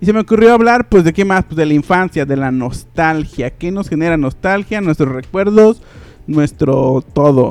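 Man with a Mexican accent, fairly high pitch, animated tone and lively intonation, moderate pace, dry, close sound with no echo. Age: 20s. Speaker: podcast host. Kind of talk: casual chat.

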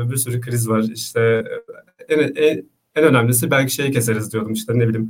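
A man at a fairly quick pace. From Istanbul, Turkey. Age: 20s. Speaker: vegan content creator, former conscript. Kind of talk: casual interview.

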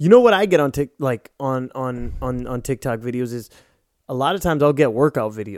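Talking at a fairly quick pace, a man with an ordinary speaking voice keeps a medium pitch with ordinary pitch variation. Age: 30s. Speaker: podcast co-host. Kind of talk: casual chat.

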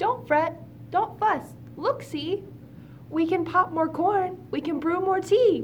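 A squeaky, put-on character voice at an extremely high pitch moves at a fairly slow pace. Long, frequent pauses break it up over clear background noise. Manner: comforting.

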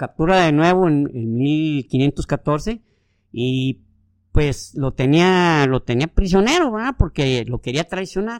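Speaking at a very slow pace with lively intonation, a man with a Mexican accent has a fairly high voice, recorded dry and close with no echo against a quiet background. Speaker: history podcast co-host. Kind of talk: casual storytelling. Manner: halting, many repetitions.

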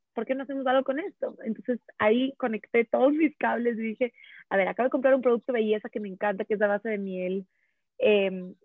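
Her voice high-pitched, a woman speaks with lively intonation. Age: 20s. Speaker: content creator. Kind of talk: casual chat.

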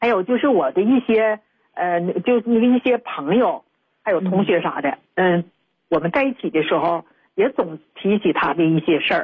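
An ordinary speaking voice from a woman, medium in pitch, with lively intonation, very even loudness and a moderate pace. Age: 50s. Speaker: radio call-in listener. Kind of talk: phone-in advice call.

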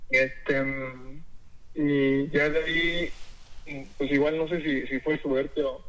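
A man's fairly high pitch delivered in a flat monotone. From Mexico, Tlaxcala. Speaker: chef. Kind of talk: interview. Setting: phone call. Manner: halting.

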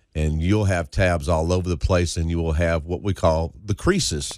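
In a very clean recording with a silent background, a man with a very deep, low pitch talks at a moderate pace. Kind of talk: casual chat. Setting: studio.

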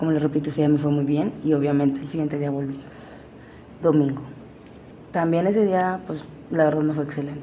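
A woman with a very deep, low voice speaks at a fairly quick pace with fairly even intonation and long, frequent pauses. Audible room echo and noticeable background noise fill the recording. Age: 20s. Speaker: exotic dancer. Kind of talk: personal storytelling. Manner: casual, with fillers and self-corrections.

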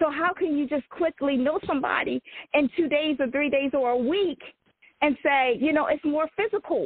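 At a moderate pace, a woman with an American accent speaks in a high pitch with ordinary pitch variation and very even loudness. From Eastern Shore of Maryland (Salisbury). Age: 40s. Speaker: author. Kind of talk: interview, personal testimony.

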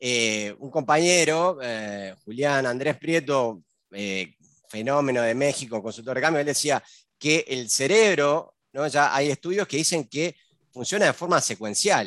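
Against a quiet background, a man speaks fairly slowly in a normal speaking voice, pitched fairly high, with lively intonation. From Uruguay. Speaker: podcast host. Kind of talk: casual interview.

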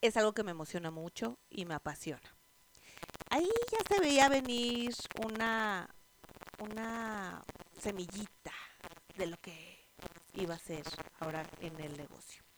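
In a Mexico City accent, a woman speaks at a fairly slow pace with long, frequent pauses, lively intonation, an animated tone and big swings in loudness. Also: medium pitch for a woman. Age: 30s. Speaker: podcast host, network marketer. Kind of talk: casual monologue.

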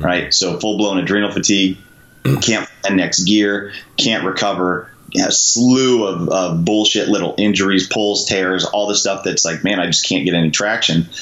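A man talks at a moderate pace with a fairly low pitch and fairly even intonation. His loudness stays very even over noticeable background noise. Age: 30s. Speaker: SWAT police officer and CrossFit coach. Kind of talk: casual interview chat.

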